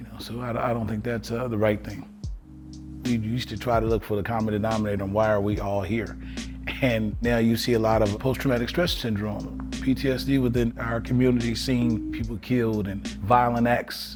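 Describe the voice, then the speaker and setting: Music in the background behind a man's fairly quick speech. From Evanston, Illinois. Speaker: formerly incarcerated advocate. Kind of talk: interview answer.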